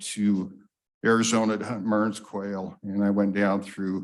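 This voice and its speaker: This man has a fairly low pitch and speaks with an American accent. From Wyoming, US West. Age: 60s. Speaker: public commenter, hunter. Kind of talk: public comment at meeting. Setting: public meeting room.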